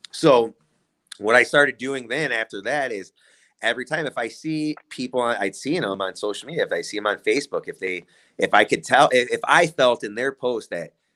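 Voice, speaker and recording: A voice with a Midwestern US accent, a bright, sharp tone and ordinary pitch variation at a fairly quick pace, in a very clean recording with a silent background. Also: man, medium pitch for a man. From Illinois, Kankakee County. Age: 30s. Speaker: community member. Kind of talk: casual chat.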